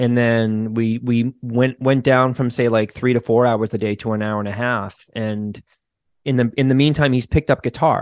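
A man with a slight Boston accent at a moderate pace, fairly even in intonation, against a quiet background. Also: medium pitch for a man, dry, close sound with no echo. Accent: mild Boston. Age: 40s. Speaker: clinical social worker and therapist. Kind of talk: casual interview chat. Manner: casual, profane, laughs often.

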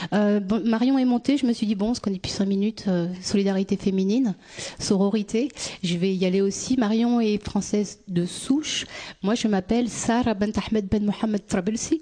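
At a moderate pace, a woman speaks with very even loudness, a medium pitch and fairly even intonation. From France, born in Tunisia. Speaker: youth worker and activist. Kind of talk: personal testimony. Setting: stage with audience.

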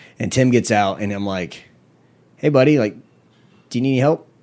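This man speaks with an American accent. His pitch variation is ordinary. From US South, Panama City, Florida. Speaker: cheerleading coach. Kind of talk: casual chat.

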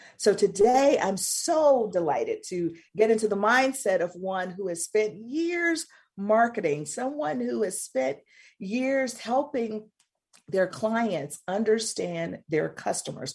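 At a very slow pace, a woman with an American accent speaks in a somewhat breathy, fairly high voice with very wide pitch swings. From US South, Mississippi. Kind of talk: radio talk show interview.

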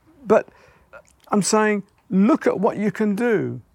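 This is a man speaking with an English accent. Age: 70s. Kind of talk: casual chat. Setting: outdoors.

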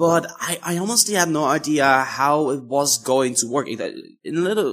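On a very clean recording with a silent background, a man speaks at a moderate pace in a fairly high, bright, sharp voice with ordinary pitch variation. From Netherlands. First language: Dutch. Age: 20s. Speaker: YouTuber. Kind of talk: interview.

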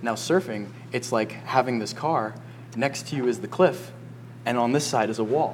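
The speaker is a man at medium pitch, moving at a moderate pace with ordinary pitch variation. Noticeable background noise sits under his voice. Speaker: surf coach and podcast host. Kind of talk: casual chat. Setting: cafe by a fire. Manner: animated.

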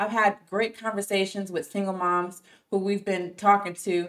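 At a moderate pace, a woman speaks in an ordinary speaking voice at a medium pitch. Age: 30s. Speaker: tech sales worker and mother. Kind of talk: interview testimony.

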